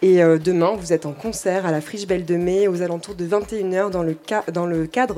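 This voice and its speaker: Music plays behind a woman's voice. She speaks at a fairly low pitch with fairly even intonation. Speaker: radio presenter. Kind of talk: radio introduction. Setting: live public broadcast in a restaurant.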